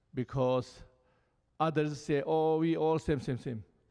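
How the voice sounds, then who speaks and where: A man speaks with a Tibetan accent. The background is quiet. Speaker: Buddhist lama. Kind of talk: panel dialogue. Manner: halting.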